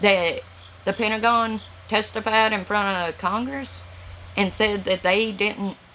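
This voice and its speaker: A woman speaks in a strong Southern US accent at a fairly high pitch. Her pace is fairly slow, and her pitch varies in an ordinary way. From Tennessee, US South. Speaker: livestreamer. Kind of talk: casual chat. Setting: livestream from home. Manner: words run together.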